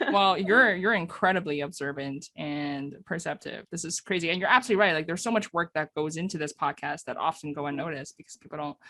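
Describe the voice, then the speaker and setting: With a slight non-native accent, a woman speaks at a very fast pace with hardly any pauses, in a fairly low pitch with ordinary pitch variation. Her tone is bright and sharp, and the sound is dry and close with no echo. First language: not English. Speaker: podcast host. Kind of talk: casual chat. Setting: podcast recording. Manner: animated.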